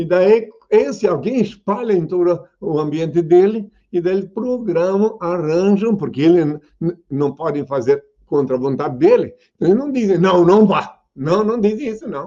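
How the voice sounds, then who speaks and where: A man speaks with a dark, mellow tone and high pitch. His intonation is lively and his pace moderate. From southern Brazil. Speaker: self-proclaimed messiah. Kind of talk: question and answer interview.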